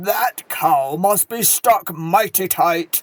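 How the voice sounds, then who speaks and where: This put-on character voice is gruff and sits at a middle pitch. It moves at a very slow pace. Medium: read story.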